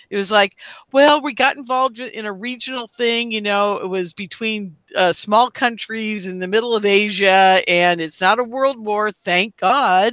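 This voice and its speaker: At a moderate pace, a woman uses an ordinary speaking voice, fairly high in pitch, with ordinary pitch variation. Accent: American. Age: 60s. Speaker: radio host. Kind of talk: casual chat.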